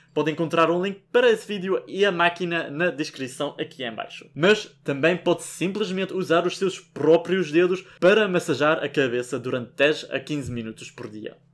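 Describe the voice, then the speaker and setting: At a moderate pace and with hardly any pauses, a man talks in a high voice with ordinary pitch variation. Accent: Belgian. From Belgium. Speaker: youtuber; hair care vlogger. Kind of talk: tutorial. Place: home room.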